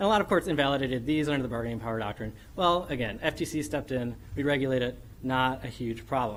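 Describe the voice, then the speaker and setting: Talking at a very fast pace, a man uses ordinary pitch variation, with audible room echo around him. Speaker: law professor. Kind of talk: academic conference presentation. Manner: animated.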